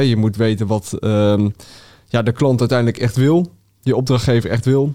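A man's medium-pitched voice with a dark, mellow tone and fairly even intonation at a moderate pace, on a very clean recording with a silent background. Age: 20s. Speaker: mechanical engineer. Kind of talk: interview. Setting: studio.

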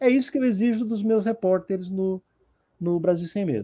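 High pitch for a man, moderate pace and ordinary pitch variation from a male speaker. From São Paulo, Brazil. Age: 50s. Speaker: writer and journalist. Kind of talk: interview. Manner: halting, with many repetitions.

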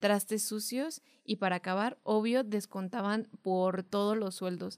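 With ordinary pitch variation and a medium pitch, a woman is heard on a very clean recording with a silent background. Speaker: podcast co-host. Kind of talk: casual chat.

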